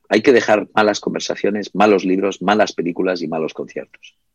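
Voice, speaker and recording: A man's fairly low, normal speaking voice at a fairly quick pace, dry and close with no echo. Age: 50s. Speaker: book publisher and writer. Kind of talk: interview. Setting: small delicatessen shop.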